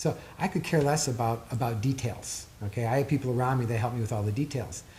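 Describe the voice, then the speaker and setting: A man talks at a very fast pace with a medium pitch and ordinary pitch variation. His voice is somewhat breathy, with very even loudness. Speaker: author and performance therapist. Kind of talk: interview. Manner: expressive.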